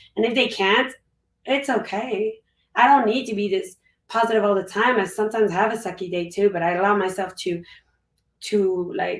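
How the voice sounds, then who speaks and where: At a moderate pace, a woman talks with medium pitch and ordinary pitch variation. She leaves long, frequent pauses. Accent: French. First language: French. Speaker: guest on a personal growth stream. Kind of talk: casual interview chat. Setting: live stream.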